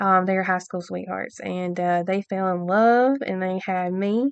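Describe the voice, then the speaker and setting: A woman with an Alabama accent speaks at a fairly slow pace. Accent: Southern US (Alabama). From US South, Alabama. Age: 20s. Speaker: podcast host. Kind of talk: casual monologue. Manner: many filler ums, halting.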